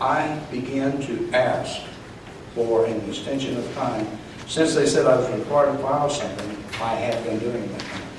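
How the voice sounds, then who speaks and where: Spoken with an American accent at a moderate pace, the voice keeps a fairly even intonation over noticeable background noise. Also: man, medium pitch for a man. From Central Illinois. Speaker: post office worker. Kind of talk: rally speech. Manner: soft-spoken.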